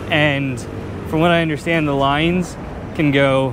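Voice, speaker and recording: Over noticeable background noise, a man speaks at a moderate pace in a monotone, flat intonation, the sound dry with no echo. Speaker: travel vlogger. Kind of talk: casual vlog chat. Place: street. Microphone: phone near.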